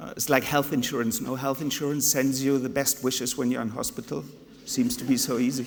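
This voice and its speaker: The speaker has a German accent and ordinary pitch variation. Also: man. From Germany (Hannover), Spanish mother. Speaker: conference speaker, tourism/hotel professional. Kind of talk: conference talk.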